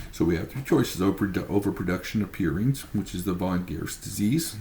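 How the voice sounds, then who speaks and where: Very fast and with lively intonation, a man speaks at a very deep, low pitch. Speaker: student presenting a case study. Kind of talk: class presentation. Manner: halting, stumbles over words.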